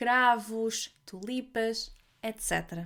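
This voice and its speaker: Speaking very slowly with a European Portuguese accent and ordinary pitch variation, the voice comes through on a very clean recording with a silent background. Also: woman. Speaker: language teacher podcaster. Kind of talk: language-learning podcast narration. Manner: slow, clear.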